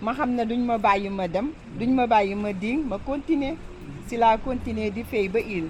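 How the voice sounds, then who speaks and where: Amid noticeable background noise and audible room echo, a woman with a fairly high pitch talks at a fairly slow pace with ordinary pitch variation. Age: 70s. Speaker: village elder. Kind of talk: interview answers to children.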